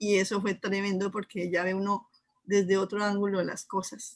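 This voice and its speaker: At a moderate pace, a woman with a medium pitch speaks in a normal speaking voice. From Colombia, Neiva, Huila. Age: 60s. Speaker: Urantia book teacher and artisan. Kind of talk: casual interview chat.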